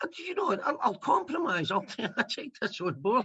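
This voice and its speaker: In a Scottish accent, a man speaks fairly quickly in a raised, projected voice, his bright, sharp tone making very wide pitch swings. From Scotland. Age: 50s. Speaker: comedian. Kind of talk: interview.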